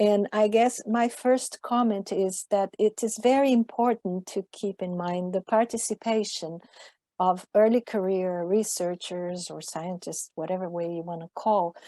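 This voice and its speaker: A woman with a non-native accent speaks at a fairly slow pace in a medium pitch with a dark, mellow tone, ordinary pitch variation and big swings in loudness, recorded dry and close with no echo over a quiet background. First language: not English. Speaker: IPCC author, scientist. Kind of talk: panel discussion.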